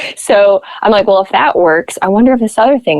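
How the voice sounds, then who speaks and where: The accent is American. The speaker is a woman. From Nebraska, US. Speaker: podcaster and model. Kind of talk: interview conversation.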